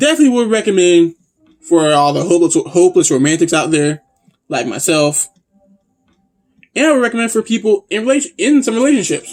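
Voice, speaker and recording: Music plays behind a man who speaks at a high pitch. His pitch swings very widely, and he leaves long, frequent pauses. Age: 21+. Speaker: anime and manga reviewer. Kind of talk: casual review monologue. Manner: halting, repetitive.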